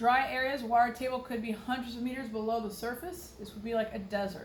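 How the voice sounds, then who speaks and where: With a slight Texas accent, the speaker has an animated tone over noticeable background noise. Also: woman, fairly high pitch for a woman. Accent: Texas drawl, slight. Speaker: science teacher. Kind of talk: lecture. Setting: recorded on computer. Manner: casual.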